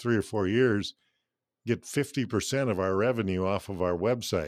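With an American accent, a man speaks in an unremarkable speaking voice at a fairly low pitch. His pace is moderate and the background is quiet. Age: 60s. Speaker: radio station owner. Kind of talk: interview.

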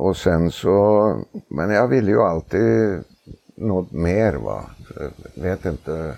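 Very deep and low, a man's voice has a dark, mellow tone. He speaks at a very slow pace with lively intonation. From Norway, Oslo. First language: Norwegian (speaking Swedish). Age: 70s. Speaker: harness racing trainer. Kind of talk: casual interview. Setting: outdoors on a veranda.

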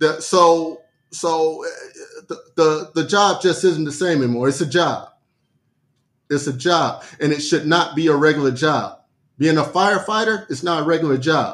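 His voice sits fairly high for a man, and he talks at a moderate speed in a normal speaking voice. The pitch moves with ordinary variation. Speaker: podcast co-host.

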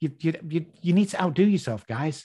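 A man with an English accent at a moderate pace, with ordinary pitch variation. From England. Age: 60s. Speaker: addiction recovery expert. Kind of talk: casual interview chat. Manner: animated, profane, motivational.

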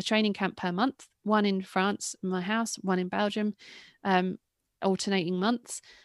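A woman with an English accent speaks at a medium pitch and a moderate pace, her intonation flat and monotone. The sound is dry and close with no echo, on a very clean recording with a silent background. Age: 30s. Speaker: retired cyclocross racer and commentator. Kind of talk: interview.

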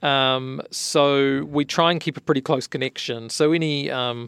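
A voice with a New Zealand accent, in a dry, close sound with no echo. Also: man. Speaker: architect and tech company founder. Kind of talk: interview.

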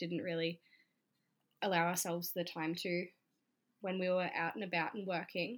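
A woman with an Australian accent, fairly low in pitch, at a moderate pace in a very clean recording with a silent background. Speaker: stripper and YouTuber. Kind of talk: interview.

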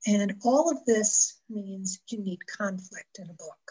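A somewhat breathy, fairly high woman's voice with an American accent. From US Northeast, western New York (Buffalo area). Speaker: romance novelist. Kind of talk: interview on writing craft.

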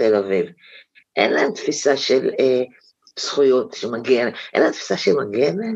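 A woman at a fairly slow pace. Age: 60s. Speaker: right-wing activist. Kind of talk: interview. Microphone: unstable line.

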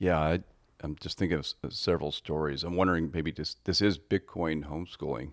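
In an American accent, a man talks at a fairly quick pace with a very deep, low pitch, vocal fry and fairly even intonation. The recording is very clean with a silent background and a dry, close sound with no echo. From US Midwest, Northeast Ohio. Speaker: podcast co-host, homeschooling father. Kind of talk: casual conversation.

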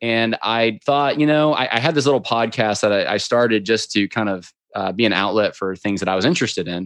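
In a normal speaking voice with an American accent, a man speaks at a medium pitch and moderate pace with ordinary pitch variation against a quiet background. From upstate New York. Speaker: podcast host and political commentator. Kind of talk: interview conversation.

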